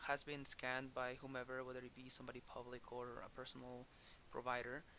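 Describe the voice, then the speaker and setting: A man's medium-pitched voice, bright and sharp in tone, in a strong Spanish accent. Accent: thick Spanish. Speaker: manga editor. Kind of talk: tutorial. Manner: halting, many repetitions and fillers; casual.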